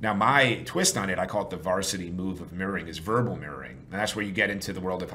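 Delivered at a very fast pace with ordinary pitch variation, the speech carries audible room echo. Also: man. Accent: American. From New York. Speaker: sales trainer and consultant. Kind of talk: interview.

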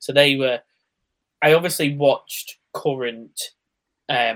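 A man with a British accent talks at a very slow pace. His pitch is fairly high and his intonation fairly even. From UK. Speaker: wrestling podcast host. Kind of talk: casual chat.

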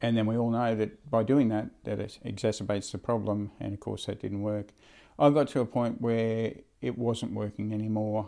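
Against a quiet background, a man with an Australian accent speaks at a moderate pace in a dark, mellow tone, fairly low in pitch with fairly even intonation. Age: 50s. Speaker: charter pilot. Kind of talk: interview. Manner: halting.

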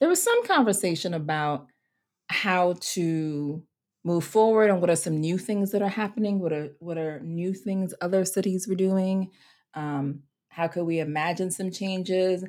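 In a very clean recording with a silent background, a woman speaks in a plain, everyday voice at medium pitch, with ordinary pitch variation and a moderate pace. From US Virgin Islands (Saint Croix). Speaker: seminary professor and minister. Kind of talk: interview conversation.

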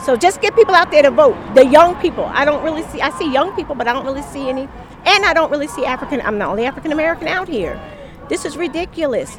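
Over noticeable background noise, a woman with a high pitch talks at a very fast pace in an animated tone with lively intonation. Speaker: podcaster and protester. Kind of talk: street interview. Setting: outdoors at a street protest.

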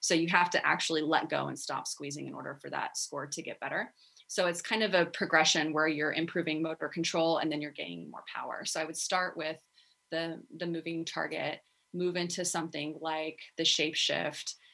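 A woman with an American accent speaks at a moderate pace in a fairly low pitch. Her tone is bright and sharp, her intonation monotone and flat, and her loudness swings widely. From Texas. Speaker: physical therapist. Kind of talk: interview.

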